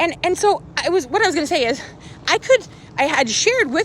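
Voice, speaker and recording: Loud and animated, a woman talks at a very fast pace over noticeable background noise. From rural Canada. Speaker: social media vlogger. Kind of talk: live stream monologue.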